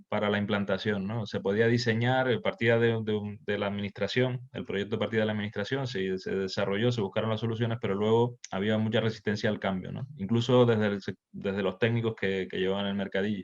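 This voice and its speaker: A man talks with hardly any pauses in a fairly low pitch. His intonation is monotone and flat. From Canary Islands, Tenerife. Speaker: session moderator. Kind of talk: virtual workshop discussion. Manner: halting, many repetitions.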